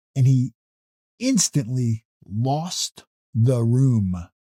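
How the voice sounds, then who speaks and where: A man talks with a dark, mellow tone and a fairly high pitch. His voice is somewhat breathy. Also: dry, close sound with no echo. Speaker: motivational speaker. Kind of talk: motivational talk. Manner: calm, steady.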